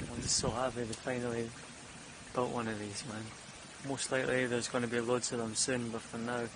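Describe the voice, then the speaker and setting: A man at medium pitch talks at a fairly quick pace in a flat monotone, with long, frequent pauses. There is noticeable background noise and audible room echo. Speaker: vlogger. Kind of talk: casual vlog monologue.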